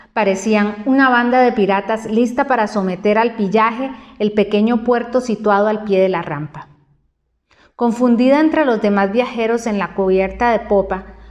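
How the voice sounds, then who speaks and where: A woman speaks in a plain, everyday voice, fairly high in pitch, with ordinary pitch variation. Her pace is moderate, and the background is quiet. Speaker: journalist and broadcaster. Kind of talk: audiobook reading.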